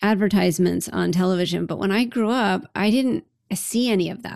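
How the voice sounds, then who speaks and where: A woman with a plain, everyday voice at medium pitch, moderate pace and ordinary pitch variation, on a very clean recording with a silent background. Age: 50s. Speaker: life leadership coach and podcast host. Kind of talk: interview as guest, casual conversation. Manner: laughs often.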